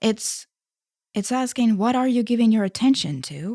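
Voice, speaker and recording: A woman with a dark, mellow tone and a fairly high pitch makes very wide pitch swings at a moderate pace, on a very clean recording with a silent background. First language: Estonian. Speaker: spirituality YouTuber. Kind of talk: casual monologue. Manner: soft-spoken.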